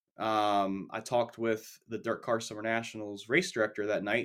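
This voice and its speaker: Over a silent background on a very clean recording, a man speaks in an ordinary speaking voice at a medium pitch and a moderate pace. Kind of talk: casual sports podcast discussion.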